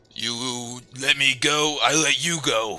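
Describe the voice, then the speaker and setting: In a raspy put-on character voice, a man talks at a fairly slow pace and medium pitch. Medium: actual play. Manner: broken simple English.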